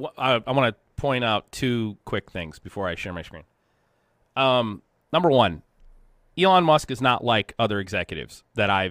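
A man talks at a moderate pace with very wide pitch swings, big swings in loudness, and long, frequent pauses. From US Rust Belt. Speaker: industrial technology consultant and show host. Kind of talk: live-stream Q&A, conversational teaching.

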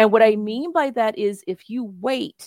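In a very clean recording with a silent background and a dry, close sound with no echo, a woman with an American accent has a plain, everyday voice, fairly high in pitch with lively intonation. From US South, Memphis, Tennessee. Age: 50s. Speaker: tarot reader. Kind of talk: casual interview.

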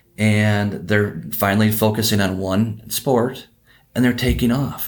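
At a fairly slow pace, a man with an Upper Midwest accent speaks at a fairly low pitch with fairly even intonation. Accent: Upper Midwest American. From Wisconsin (Oconomowoc). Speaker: baseball coach and academy owner. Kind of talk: casual interview chat.

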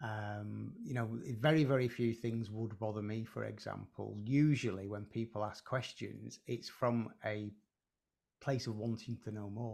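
A man's fairly low voice with a northern English accent, fairly even intonation and a fairly slow pace. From northern England, Preston. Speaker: hypnotherapist and psychotherapist. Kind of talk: casual conversation. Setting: video call.

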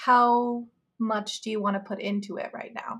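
A woman talks with an American accent and a fairly high pitch. Her voice is somewhat breathy, with ordinary pitch variation. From Iowa, Des Moines. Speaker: marketing manager. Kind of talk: casual chat.

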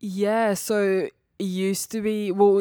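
With a Serbian accent and a dark, mellow tone, a woman is heard on a very clean recording against a silent background. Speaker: bikini competitor. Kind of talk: casual interview chat. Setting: studio.

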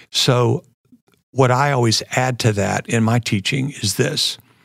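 Recorded with a dry, close sound and no echo, a man with an American accent has an unremarkable speaking voice, a medium pitch, ordinary pitch variation and a fairly slow pace. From US South, Florida (Jacksonville). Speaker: business professor and former entrepreneur. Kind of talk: interview.

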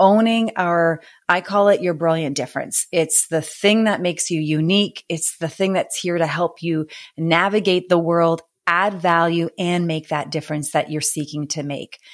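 A woman speaks at a moderate pace with a fairly low pitch and fairly even intonation, in a very clean recording with a silent background. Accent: Canadian. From Canada. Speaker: author and business coach. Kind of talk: interview conversation.

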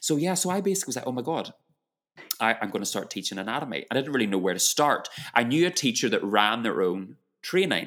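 Someone with a British accent talks at a very fast pace with very wide pitch swings. The recording is very clean, with a silent background. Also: man, medium pitch for a man. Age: 40s. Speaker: yoga teacher. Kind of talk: interview.

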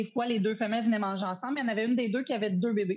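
A somewhat breathy, fairly high female voice in a Quebec accent, fairly even in intonation, over a quiet background. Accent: Québécois French. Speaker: hunter, small business owner. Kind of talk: casual chat.

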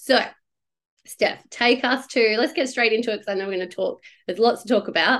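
Speaking at a very fast pace, a woman with an Australian accent sounds animated. Her voice is fairly high. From Perth, Western Australia. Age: 30s. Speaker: podcast host, business coach. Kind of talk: casual interview chat.

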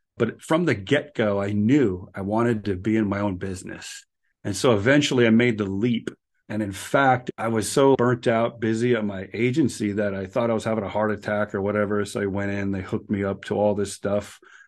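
With fairly even intonation and a fairly quick pace, a man speaks in a plain, everyday voice at a fairly low pitch. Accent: American. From US Upper Midwest (Minnesota/North Dakota border). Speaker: author and mindset coach, therapist in private practice. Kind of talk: casual interview.

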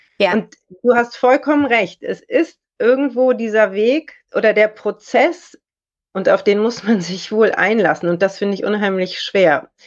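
With a normal speaking voice, a woman talks at a fairly slow pace, her fairly high pitch carrying lively intonation. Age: 40s. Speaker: lawyer and model. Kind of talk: casual interview.

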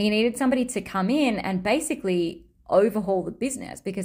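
In an Australian accent, a woman talks at a fairly quick pace with lively intonation, on a very clean recording with a silent background. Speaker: podcast host and human design teacher. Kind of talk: solo podcast monologue, personal storytelling.

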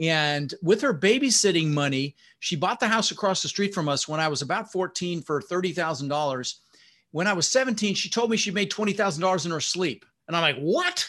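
A man with a General American accent, a high pitch, lively intonation and an animated tone, against a quiet background. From Netherlands, raised in Denver, Colorado. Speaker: real estate investor and coach. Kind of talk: interview.

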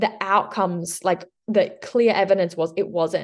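This is a woman with an Australian accent. Her pitch sits in the medium range. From Western Australia. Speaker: nutritionist and crossfit coach. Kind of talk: casual interview.

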